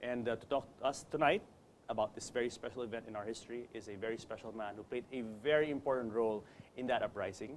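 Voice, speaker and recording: Very fast talk from a man at a medium pitch, with fairly even intonation. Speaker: talk show host. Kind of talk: interview. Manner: formal.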